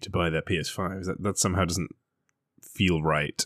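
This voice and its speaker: The recording is very clean, with a silent background and a dry, close sound free of echo. A man speaks at a moderate pace. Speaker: podcast host. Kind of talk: casual banter podcast.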